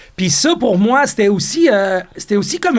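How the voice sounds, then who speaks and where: Loud and high-pitched, a man speaks with lively intonation. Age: 50s. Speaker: chef and restaurateur. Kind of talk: podcast interview.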